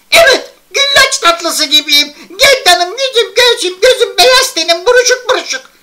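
A put-on character voice at an extremely high pitch, moderate in pace with hardly any pauses. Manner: scolding, self-pitying.

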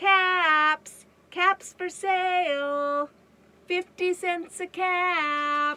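A woman's put-on character voice, extremely high in pitch, at a very slow pace with fairly even intonation. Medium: read story. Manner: calling out, then scolding and increasingly angry.

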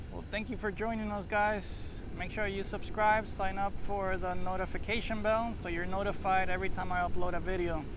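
A man speaks at a moderate pace. The sound is dry with no echo, and there is noticeable background noise. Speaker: drone hobbyist vlogger. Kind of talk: casual vlog chat. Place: beach. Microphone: phone near.

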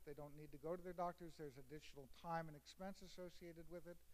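Here is a man with a normal speaking voice, pitched fairly high. His intonation stays fairly even. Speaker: cardiologist. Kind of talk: panel discussion. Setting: stage with audience.

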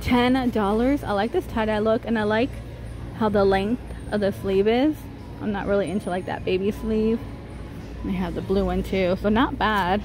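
A woman's speech with long, frequent pauses, a dry sound with no echo, and noticeable background noise. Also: moderate pace. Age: 30s. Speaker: shopping vlogger. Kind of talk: casual store walkthrough vlog. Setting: inside a retail store. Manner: chatty, with frequent laughs. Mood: upbeat, chatty. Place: shop. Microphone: phone near.

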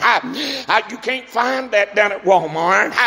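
A man with an American accent speaks in a high pitch. His voice is raised and projected. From US South. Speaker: preacher. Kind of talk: sermon. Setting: church. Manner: animated; fervent. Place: church.

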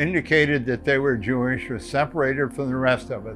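The voice belongs to a man. Music plays faintly behind him. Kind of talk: interview answer. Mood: calm, reflective. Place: home room. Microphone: lapel.

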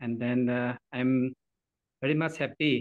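The background is quiet. The speech moves at a fairly slow pace. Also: man. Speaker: guest. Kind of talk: formal talk opening to an online meeting. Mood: apologetic, polite. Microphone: video call.

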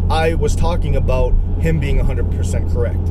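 A man at a moderate pace, dry with no echo, over loud background noise. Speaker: religious video blogger. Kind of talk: casual religious monologue. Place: car. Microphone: phone near.

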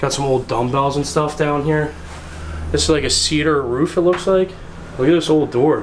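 With faint background noise, a man speaks at a moderate pace in a fairly high voice with ordinary pitch variation.

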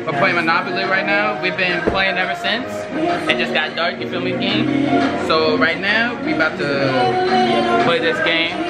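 A man is speaking at a fairly slow pace. Music plays in the background. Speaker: vlogger. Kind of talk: casual vlog chat. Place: home room. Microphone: phone near.

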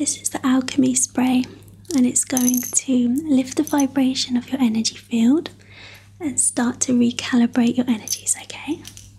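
The voice is soft-spoken with a soothing tone. It moves at a moderate pace with fairly even intonation. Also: woman, high pitch for a woman. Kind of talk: guided meditation session. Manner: soft, soothing ASMR voice. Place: home room.

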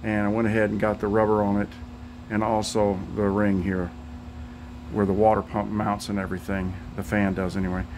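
A man talks at a fairly quick pace in a monotone, flat intonation. Noticeable background noise sits behind him. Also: fairly low pitch for a man. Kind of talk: casual project update vlog. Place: garage. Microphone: phone near.

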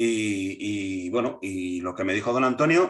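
Against a quiet background, a man speaks. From Basque Country, Spain. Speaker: political movement leader; interviewee. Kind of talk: interview. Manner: halting, many repetitions and fillers. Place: home room. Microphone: video call.

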